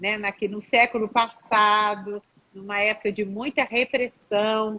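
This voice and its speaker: A woman speaks very slowly in a fairly high voice with a bright, sharp tone. The sound is dry and close, with no echo. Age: 60s. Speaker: psychologist. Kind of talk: live stream talk.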